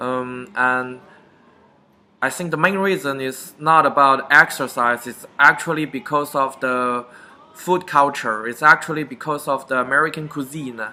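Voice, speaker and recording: Speaking fairly slowly with a Chinese accent, a man uses a fairly high pitch and a bright, sharp tone, with big swings in loudness. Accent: Chinese (Mandarin). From China, Beijing. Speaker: vlogger. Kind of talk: casual talk to camera.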